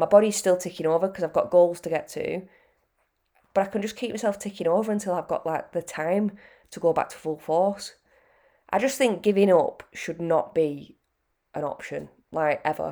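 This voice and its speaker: The tone is dark and mellow, with a British accent, at a moderate pace with long, frequent pauses. Loudness swings widely, and the recording is very clean with a silent background. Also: woman, medium pitch for a woman, ordinary pitch variation. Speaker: fitness coach podcaster. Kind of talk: pep talk, casual motivational monologue. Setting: solo podcast. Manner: earnest, chatty, direct; conversational, with fillers.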